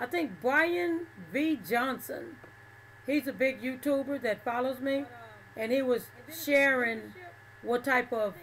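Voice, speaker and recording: A woman speaks in a Southern US accent at a high pitch. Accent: southern drawl. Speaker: livestreamer. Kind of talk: casual chat. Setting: livestream.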